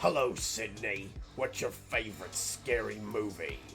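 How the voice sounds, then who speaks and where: A man speaks in a put-on character voice at a moderate pace. Background noise is clear behind him. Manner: menacing, sinister, teasing.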